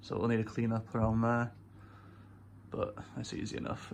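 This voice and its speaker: With a Welsh accent, a man of medium pitch talks at a fairly quick pace. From Wales. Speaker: car enthusiast YouTuber. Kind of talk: casual vlog. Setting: bedroom. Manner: casual, hesitant with fillers.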